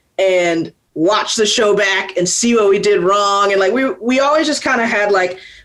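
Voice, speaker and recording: With an American accent, a woman speaks at a moderate pace and ordinary pitch variation, her voice carrying audible room echo. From US South, Atlanta, Georgia. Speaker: rock musician. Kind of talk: interview. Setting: video call.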